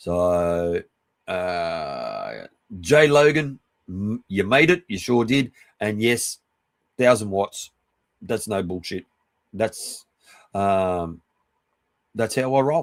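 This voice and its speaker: In an Australian accent, a man speaks very slowly at a fairly low pitch with lively intonation and long, frequent pauses. The sound is dry and close, with no echo. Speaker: live streamer. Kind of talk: casual chat. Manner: halting, many fillers and restarts.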